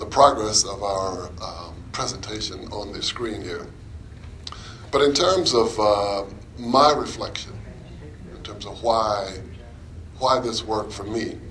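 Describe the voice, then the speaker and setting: There is audible room echo as a man speaks at a very slow pace in a medium pitch. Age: 60s. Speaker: anti-racism presenter. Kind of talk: presentation.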